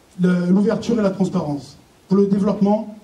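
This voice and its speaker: A man speaks at a fairly quick pace in a high voice for a man, with fairly even intonation, noticeable background noise and audible room echo. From southern France (Var). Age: 40s. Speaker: municipal election candidate, teacher. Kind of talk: campaign speech read from notes. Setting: public meeting hall with audience. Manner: halting, many hesitations.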